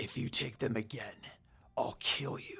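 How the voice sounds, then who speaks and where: Growling in a put-on character voice, a man talks at a moderate pace. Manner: menacing.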